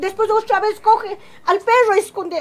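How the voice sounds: Over faint music in the background, a woman speaks at an extremely high pitch and moderate pace with fairly even intonation.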